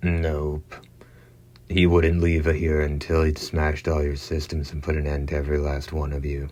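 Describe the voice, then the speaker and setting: Putting on a hoarse character voice, a man speaks at a moderate pace in a very deep, low pitch with monotone, flat intonation. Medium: read story. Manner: sardonic, casual.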